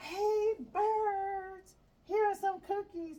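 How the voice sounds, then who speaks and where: A squeaky, put-on character voice shouts. It is loud throughout. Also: woman, extremely high pitch for a woman. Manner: loud shouting.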